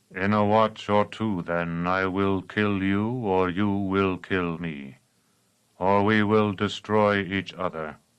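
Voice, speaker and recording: Against a quiet background, a man puts on a character voice. His pitch is fairly low, and he delivers it at a fairly slow pace. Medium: read story. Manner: patient, menacing.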